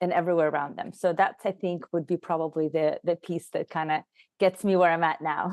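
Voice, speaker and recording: A woman with a Russian accent talks at a fairly quick pace in a monotone, flat intonation. The sound is dry and close with no echo, over a quiet background. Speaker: HR consultant and leadership coach. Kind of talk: podcast interview.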